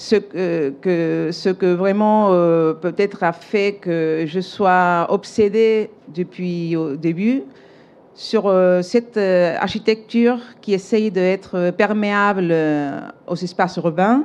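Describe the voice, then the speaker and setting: A woman speaks at a very slow pace with a Spanish accent. Her pitch is medium, with ordinary variation. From Spain, Seville. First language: Spanish (speaking French). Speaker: architect, award winner. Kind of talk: acceptance speech. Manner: halting, many hesitations.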